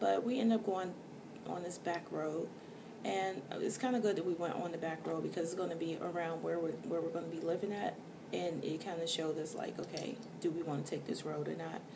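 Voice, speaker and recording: A quiet woman's voice, fairly low in pitch, with ordinary pitch variation, audible room echo and noticeable background noise. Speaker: vlogger. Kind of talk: casual vlog rant. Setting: indoors at night, others asleep. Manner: quiet, hushed.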